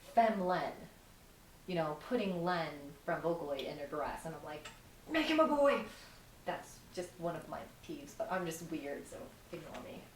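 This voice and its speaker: Over noticeable background noise, a woman with a fairly low pitch and lively intonation speaks at a moderate pace, with big swings in loudness and long, frequent pauses. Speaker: cosplayer. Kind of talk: interview answer. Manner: casual, rambling.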